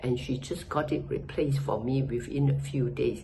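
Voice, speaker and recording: Fairly slow female speech in audible room echo. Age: 80s+. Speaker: customer giving a product review. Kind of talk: testimonial. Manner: hesitant, with fillers.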